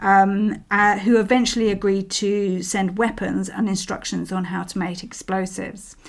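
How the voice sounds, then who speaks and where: On a very clean recording with a silent background, a woman with a London accent talks fairly slowly at medium pitch. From England, East London. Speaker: social historian and podcast host. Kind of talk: storytelling history narration. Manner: hesitant, many fillers.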